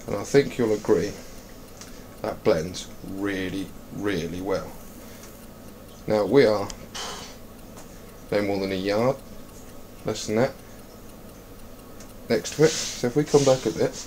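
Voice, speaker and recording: Speaking at a fairly slow pace with an English accent, a man with a fairly low pitch and ordinary pitch variation leaves long, frequent pauses. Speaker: air rifle hunter and video maker. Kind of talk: tutorial. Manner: casual; quiet.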